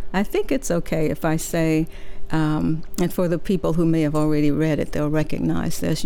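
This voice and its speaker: A woman speaks at a moderate pace with a very deep, low pitch and fairly even intonation. Her loudness stays very even over noticeable background noise. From Mississippi, US South; moved to San Francisco as a teenager. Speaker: novelist. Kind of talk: interview. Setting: radio studio.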